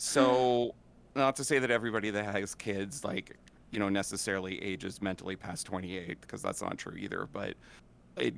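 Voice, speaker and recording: Lively in intonation, a man with a fairly low voice and vocal fry talks at a fairly quick pace. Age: 40s. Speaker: DJ and streamer. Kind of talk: casual chat.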